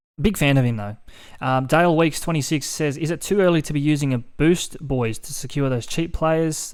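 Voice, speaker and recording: Someone with an Australian accent speaks at a fairly quick pace on a very clean recording with a silent background. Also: man. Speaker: fantasy sports podcast host. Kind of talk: casual podcast chat.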